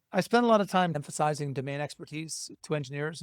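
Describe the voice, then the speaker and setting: A man with an Irish accent speaks at a very fast pace, his pitch fairly high with ordinary variation. The sound is dry and close with no echo, on a very clean recording with a silent background. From Ireland. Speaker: podcast host. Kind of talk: podcast interview.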